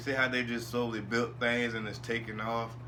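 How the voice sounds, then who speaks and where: Over noticeable background noise, a man speaks at a fairly quick pace and medium pitch. Room echo is audible. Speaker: wrestling podcaster. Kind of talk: casual solo commentary. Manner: fast.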